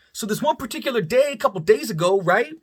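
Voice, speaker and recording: A man's raised, projected voice, animated in tone, with very wide pitch swings. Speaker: vlogger, bartender. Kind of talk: casual storytelling monologue. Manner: loud, projects voice; animated, stammering repetitions.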